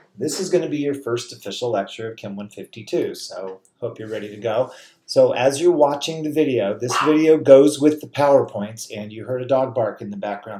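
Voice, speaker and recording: A man at a moderate pace, with big swings in loudness and audible room echo. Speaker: college chemistry instructor. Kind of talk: lecture. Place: home room.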